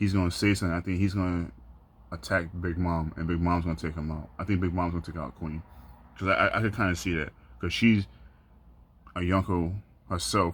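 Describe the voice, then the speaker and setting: A man speaks with a very deep, low pitch, fairly even intonation and a fairly quick pace, broken by long, frequent pauses. The recording is very clean, with a silent background. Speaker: anime YouTuber. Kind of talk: casual video commentary. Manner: monotone; halting, many fillers and repeats.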